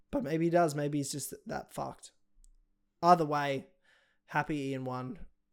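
A man's fairly high voice at a fairly slow pace, with long, frequent pauses and fairly even intonation, on a very clean recording with a silent background. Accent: Australian. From Australia. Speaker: podcast host. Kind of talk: casual chat about MMA.

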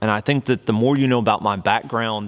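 A man speaks with a slight Southern US accent. His pitch varies in an ordinary way. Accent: slight Southern twang. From US South, Oklahoma near Texas border. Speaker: worship leader and podcast host. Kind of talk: casual monologue. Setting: studio with camera and microphone.

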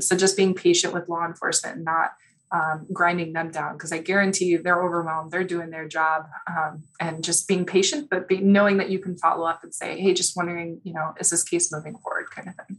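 With an American accent, a woman talks at a fairly quick pace in monotone, flat intonation, her loudness swinging widely. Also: fairly low pitch for a woman. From Chicago, US Midwest. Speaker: forensic veterinarian. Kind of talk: interview. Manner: hesitant with many fillers.

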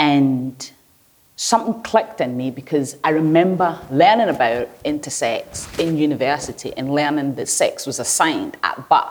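At a moderate pace, the delivery has lively intonation. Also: woman, very deep, low pitch for a woman. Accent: Glaswegian. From Nigeria (Lagos), then Glasgow East End from age 10. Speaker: researcher and painter. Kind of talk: conversational interview.

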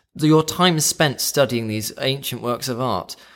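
A man speaks in an ordinary speaking voice at a medium pitch and moderate pace. His intonation is lively. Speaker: podcast co-host. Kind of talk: casual chat.

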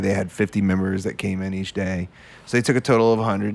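A man with an unremarkable speaking voice talks at a fairly low pitch with fairly even intonation. The recording is very clean, with a silent background. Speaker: musician in a polka band. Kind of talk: casual chat. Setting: studio.

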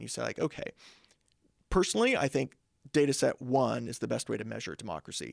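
A man with a US Midwestern accent talks at a fairly quick pace. The sound is dry and close, with no echo. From southeast Kansas (Coffeyville). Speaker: political science professor. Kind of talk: casual interview. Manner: animated.

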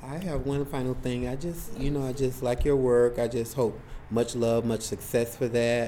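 Fairly even intonation in an American accent at a moderate pace, with noticeable background noise. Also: man, medium pitch for a man. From Florida, near Lake Okeechobee. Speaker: writer. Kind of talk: casual conversation. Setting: library.

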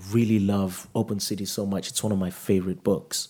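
With a dark, mellow tone and a fairly low pitch, a man speaks at a very fast pace. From Nigeria. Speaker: writer and photographer. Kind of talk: onstage conversation. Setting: stage with audience.

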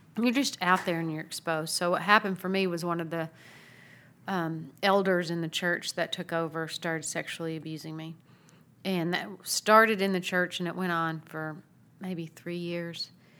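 A woman with an American accent speaks at a moderate pace in a fairly low pitch, with fairly even intonation and an ordinary speaking voice, on a very clean recording with a silent background. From US South, Tennessee. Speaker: Episcopal priest, nonprofit founder. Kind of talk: interview conversation.

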